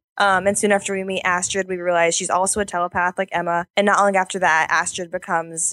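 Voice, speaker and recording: Fairly quick and fairly even in intonation, a woman speaks at a medium pitch in an ordinary speaking voice. The sound is dry and close, with no echo. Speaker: comics site editor. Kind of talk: casual chat.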